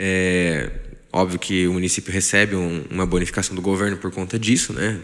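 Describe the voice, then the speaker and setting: With fairly even intonation, a man speaks at a moderate pace in a very deep, low pitch. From Brazil, Taubaté, São Paulo state. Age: 20s. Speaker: family doctor. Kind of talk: interview.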